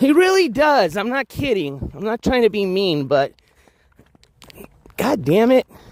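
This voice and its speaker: Loud and high for a man, his voice makes very wide pitch swings at a fairly slow pace with long, frequent pauses, in a dry, close sound with no echo. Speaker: IRL livestreamer. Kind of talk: live stream vlog.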